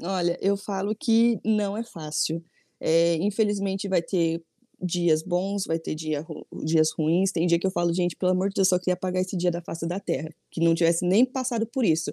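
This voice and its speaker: On a very clean, dry and close recording with a silent background and no echo, a woman speaks at a moderate pace in a medium-pitched voice with a dark, mellow tone and ordinary pitch variation. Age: 20s. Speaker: small business owner. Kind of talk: interview.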